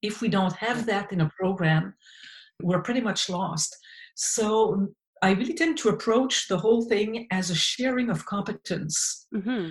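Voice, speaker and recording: A woman's somewhat breathy voice, fairly slow, with ordinary pitch variation. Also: medium pitch for a woman, quiet background. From Quebec, small town. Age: 60s. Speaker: occupational therapist and researcher. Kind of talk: interview conversation.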